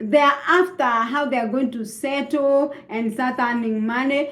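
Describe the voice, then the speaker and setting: The speaker talks at a very slow pace with a Kenyan accent. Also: woman. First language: Kikuyu. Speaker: vlogger. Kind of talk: casual monologue. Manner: halting.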